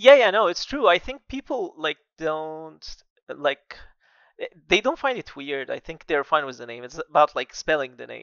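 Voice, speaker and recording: A man with an Arabic accent talks at a moderate pace in a fairly high pitch, with very wide pitch swings and big swings in loudness. The recording is dry with no echo and a quiet background. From Egypt, Alexandria. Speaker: architect and AI artist. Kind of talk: casual interview. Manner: hesitant, filler-heavy. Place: home room. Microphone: headset.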